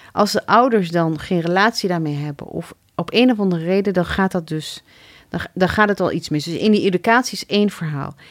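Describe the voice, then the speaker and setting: In a very clean recording with a silent background, a woman with a plain, everyday voice talks at a fairly quick pace, at medium pitch, with ordinary pitch variation. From Morocco, raised in a Dutch village. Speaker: city alderman. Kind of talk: interview. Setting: studio.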